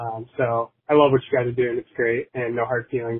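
Speaking at a fairly quick pace with an American accent, a man keeps a medium pitch and a monotone, flat intonation. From Michigan. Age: young. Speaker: listener leaving voicemail. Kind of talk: voicemail message. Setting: phone voicemail.

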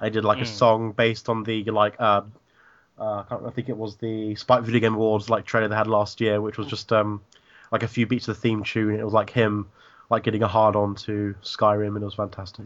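In a fairly low voice, a man speaks with monotone, flat intonation. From England. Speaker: gaming podcaster. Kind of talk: casual chat.

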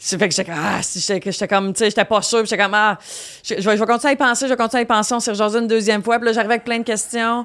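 Very fast pace with fairly even intonation. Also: woman, fairly high pitch for a woman. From Quebec, Victoriaville. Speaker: comedian. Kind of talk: casual chat. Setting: studio.

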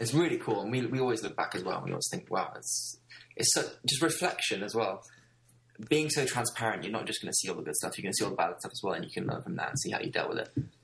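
Speaking very fast, a man talks with a British accent. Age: 20s. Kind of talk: podcast interview.

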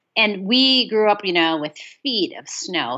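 A woman speaks with an Upper Midwest accent. Her pitch swings very widely. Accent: Upper Midwest American. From US Midwest, northern Michigan. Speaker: author and audiobook narrator. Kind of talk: casual chat. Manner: animated.

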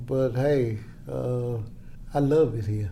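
A man with a Tennessee accent speaks at medium pitch. His tone is dark, mellow and somewhat breathy. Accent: Southern US (Tennessee). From US South, Chattanooga, Tennessee. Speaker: retired soul singer. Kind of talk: casual interview conversation.

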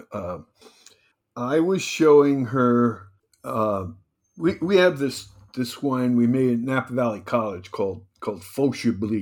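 With an American accent and an ordinary speaking voice, a man talks at a fairly slow pace, his medium pitch carried by lively intonation. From New Jersey. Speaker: winemaker and wine consultant. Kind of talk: interview.

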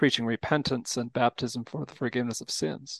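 Dry and close with no echo over a quiet background, a man uses a normal speaking voice at medium pitch and a moderate pace. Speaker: pastor. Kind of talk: casual chat.

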